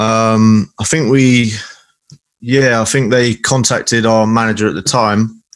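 A man speaks with a southern English accent at a fairly slow pace. His pitch varies in an ordinary way. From Salisbury, southern England. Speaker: guitarist in a hardcore band. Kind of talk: casual chat.

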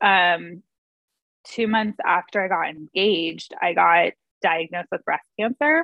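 A woman talks fairly slowly in a normal speaking voice, medium in pitch with ordinary pitch variation. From San Diego, California. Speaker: small business owner. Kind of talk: interview.

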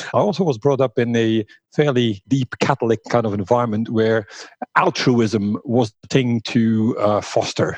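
Speaking at a fairly slow pace, a man with a Flemish accent uses a medium pitch and ordinary pitch variation in a dry, close sound with no echo. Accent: Flemish Belgian English. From Flanders, Belgium. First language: Dutch (Flemish). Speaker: workplace design company founder. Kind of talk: interview.

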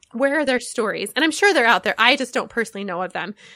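A woman's bright, sharp tone on a very clean recording with a silent background. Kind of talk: casual chat about books.

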